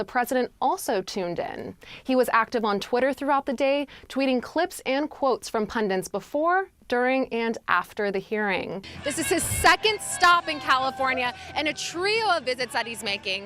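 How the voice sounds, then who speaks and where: With music in the background, a woman speaks at a high pitch, her voice making very wide pitch swings. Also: moderate pace. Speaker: reporter. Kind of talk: broadcast news reporting.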